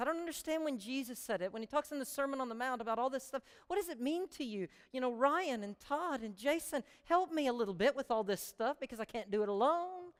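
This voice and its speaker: A woman talks at a fairly quick pace in an animated, squeaky voice with high pitch and lively intonation. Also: hardly any pauses. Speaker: pastor. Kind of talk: sermon.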